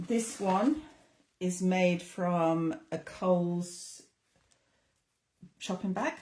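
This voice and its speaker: A woman with a northern English accent, medium pitch and a somewhat breathy voice, very slow pace, long, frequent pauses and ordinary pitch variation. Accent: English (northern England). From northern England. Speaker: craft tutor. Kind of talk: tutorial.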